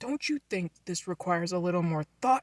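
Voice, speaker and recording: A put-on character voice at a middle pitch delivers its lines at a moderate pace. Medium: read story. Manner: sarcastic, stern.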